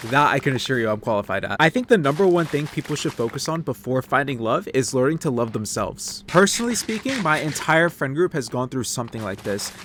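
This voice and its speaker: A man talks very fast with lively intonation and a fairly high pitch. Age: 20s. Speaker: gaming commentary youtuber. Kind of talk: unscripted commentary over gameplay. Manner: casual, off the cuff.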